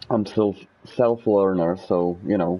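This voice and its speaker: Music plays in the background as a man speaks in a Czech accent. His pace is very slow. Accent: Czech accent, noticeable. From Czech Republic. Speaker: gaming streamer. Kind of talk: casual live gameplay commentary. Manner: halting, many fillers and restarts.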